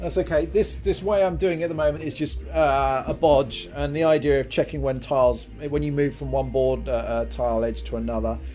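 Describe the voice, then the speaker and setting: Music in the background behind a man at a moderate pace. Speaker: game programmer live streamer. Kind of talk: live coding stream. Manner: mumbling; hesitant.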